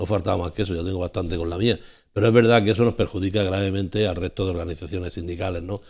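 A man talks at a very fast pace with a very deep, low pitch and fairly even intonation. The background is quiet. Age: 60s. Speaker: panelist on a local TV talk show; TV talk show panelist. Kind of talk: televised panel debate. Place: studio. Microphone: lapel.

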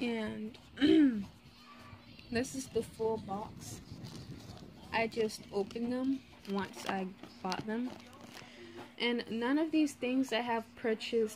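Over light background noise, a woman speaks at a very slow pace with long, frequent pauses and ordinary pitch variation. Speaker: vlogger. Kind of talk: casual show-and-tell vlog chat. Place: home room. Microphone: phone near.

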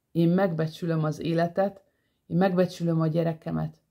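A woman with a fairly low, dark, mellow voice speaks in a monotone, flat intonation at a fairly slow pace, the background quiet. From Hungary. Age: 40s. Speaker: vlogger. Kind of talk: personal monologue. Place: home room. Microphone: phone near.

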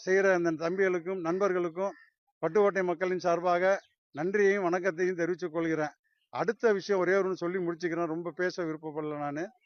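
A man talks with a high pitch in a monotone, flat intonation. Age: 60s. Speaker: farmer. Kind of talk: interview statement.

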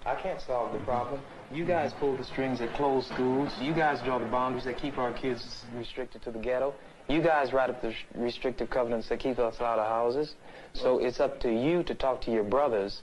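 There is light background noise as a man speaks. His pace is fairly quick and his intonation fairly even. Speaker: activist in debate. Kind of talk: heated argument. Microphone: old recording.

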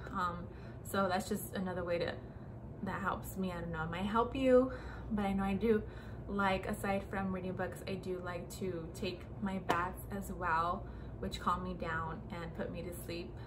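Noise is clearly audible behind speech that moves at a medium speed. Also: woman. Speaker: lifestyle vlogger. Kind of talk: casual vlog monologue. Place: home room. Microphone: phone near.

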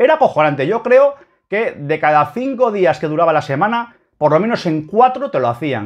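Against a quiet background, a man talks in an animated tone. His pitch swings very widely. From Spain. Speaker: football YouTuber; football fan video blogger. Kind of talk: opinion commentary reading a column. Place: home room. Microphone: webcam.

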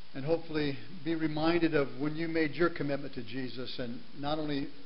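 The speaker keeps a moderate pace and fairly even intonation. Light background noise can be heard. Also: man. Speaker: guest preacher. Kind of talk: sermon. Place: church.

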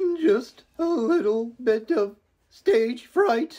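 This is a cartoonish character voice with a fairly high pitch. It moves at a very slow pace. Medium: puppet. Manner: timid.

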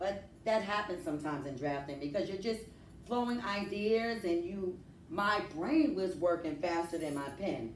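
A woman speaks at a fairly slow pace with very wide pitch swings, with audible room echo and light background noise. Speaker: teacher. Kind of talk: lesson to students. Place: classroom. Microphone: camera far.

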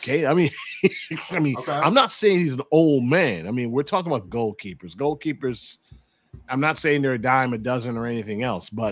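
A man's lively intonation in a dry sound with no echo. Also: fairly quick pace. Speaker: podcast host. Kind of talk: podcast commentary. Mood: exasperated, opinionated. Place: home room. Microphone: video call.

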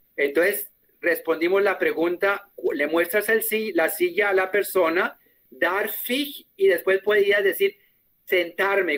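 A man with a German accent speaks at a high pitch and a fairly slow pace. His pitch varies in an ordinary way. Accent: Spanish sounds German-tinged. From Colombia. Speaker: German teacher. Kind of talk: online class. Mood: warm, friendly, joking. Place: home room.

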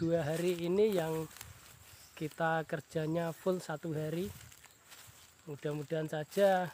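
A man's high voice with monotone, flat intonation, a dry sound with no echo and light background noise. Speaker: rubber tapper vlogger. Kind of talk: casual vlog chat. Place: forest. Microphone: phone near.

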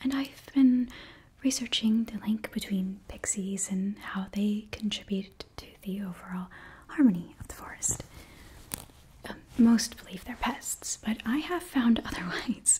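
Whispering and soft-spoken, a woman talks at a fairly slow pace with big swings in loudness. Light background noise sits behind her. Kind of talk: roleplay monologue to viewer. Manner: soft intimate whisper, curious tone. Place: home room.

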